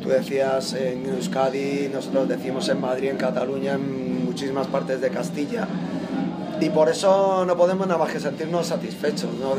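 A man talks at a moderate pace while clear music plays in the background. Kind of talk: interview answer. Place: empty room. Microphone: handheld.

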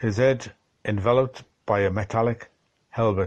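Against a quiet background, an unforced reading voice moves through ordinary pitch variation.

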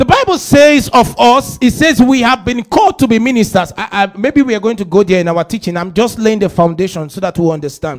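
Against a quiet background, the speech moves at a fairly quick pace with hardly any pauses. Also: man. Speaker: preacher. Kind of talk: sermon. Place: church. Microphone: handheld.

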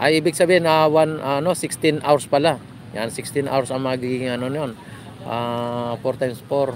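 Man at a moderate pace with fairly even intonation, dry sound with no echo, light background noise. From Philippines. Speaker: vlogger doing a live stream. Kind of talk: live vlog commentary with passer-by interviews. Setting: outdoors at a beach. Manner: casual, hesitant with many fillers. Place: beach. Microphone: phone near.

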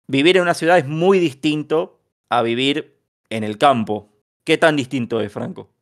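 Speaking at a fairly slow pace, a man with a fairly high pitch has an unremarkable speaking voice and lively intonation. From Bahía Blanca, Argentina. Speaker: podcast host. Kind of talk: casual podcast discussion.

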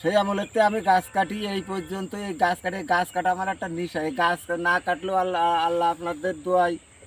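The man's voice sits high in pitch. His intonation is fairly even. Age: 50s. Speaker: date palm sap collector. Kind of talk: casual interview.

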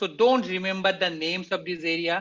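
A man with a high-pitched, fairly bright voice speaks at a moderate pace with fairly even intonation.

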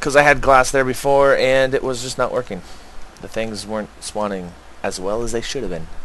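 A man talks at a fairly quick pace over noticeable background noise, his medium pitch showing ordinary pitch variation. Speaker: gaming video creator. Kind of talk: let's play commentary. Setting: home recording. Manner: casual, occasionally laughing.

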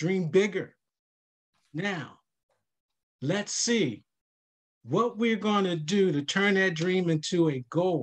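Very slow, high-pitched speech from a man, with ordinary pitch variation and long, frequent pauses. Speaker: financial counselor; panelist. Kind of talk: virtual workshop panel. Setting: video call. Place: home room. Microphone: webcam.

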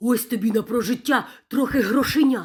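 A woman puts on a character voice, pitched high and kept to a fairly even intonation. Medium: read story.

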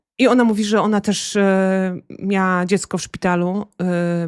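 A woman speaks at a medium pitch in a monotone, flat intonation, on a very clean recording with a silent background. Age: 40s. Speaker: author. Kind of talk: interview. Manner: halting.

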